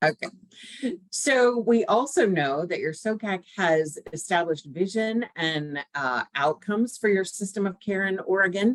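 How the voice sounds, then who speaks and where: A woman at a fairly slow pace, the sound dry and close with no echo. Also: medium pitch for a woman, lively intonation. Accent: American. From US South, Georgia. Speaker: technical assistance consultant. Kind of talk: online presentation to a council. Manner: conversational, many fillers.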